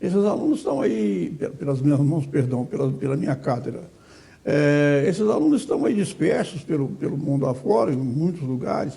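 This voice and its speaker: Speaking at a moderate pace, a man with a fairly high, somewhat breathy voice uses lively intonation and a dark, mellow tone. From Brazil, southeastern Goiás (Goiandira). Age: 80s+. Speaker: retired law professor and lawyer. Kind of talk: interview. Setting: studio. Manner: halting, frequent repetitions.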